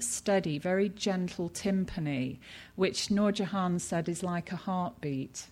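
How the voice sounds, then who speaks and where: A woman with a British accent at a medium pitch, with ordinary pitch variation and a fairly slow pace, in a very clean recording with a silent background. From Britain. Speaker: textile researcher and anthropologist. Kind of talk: lecture. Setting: stage with audience. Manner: hesitant, many fillers.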